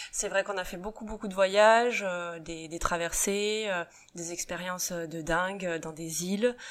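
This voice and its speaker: Her voice is a plain, everyday voice, as a woman speaks fairly slowly at a medium pitch with fairly even intonation and big swings in loudness. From western France, Saint-Nazaire. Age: 30s. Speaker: rugby coach's wife, beauty business owner. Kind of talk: interview. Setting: at her home.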